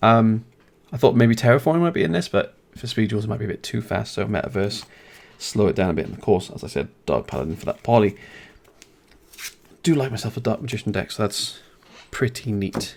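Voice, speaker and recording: Fairly quick speech in a British accent, broken by long, frequent pauses. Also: man, medium pitch for a man, ordinary pitch variation. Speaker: card game YouTuber. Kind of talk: product review. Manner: fast; casual.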